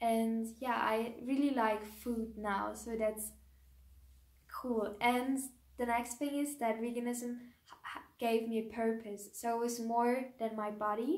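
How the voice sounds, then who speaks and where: The speaker talks at a very slow pace with a German accent. The intonation stays monotone and flat. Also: woman, fairly high pitch for a woman. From Germany. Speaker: YouTuber, raw vegan lifestyle creator. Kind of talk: personal vlog, casual talk to camera. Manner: hesitant, with many ums and restarts.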